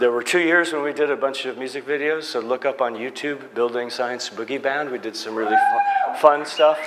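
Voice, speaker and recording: A fairly high-pitched man with an American accent, amid audible room echo and noticeable background noise. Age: 60s. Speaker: energy efficiency consultant. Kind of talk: conference talk. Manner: halting, many fillers.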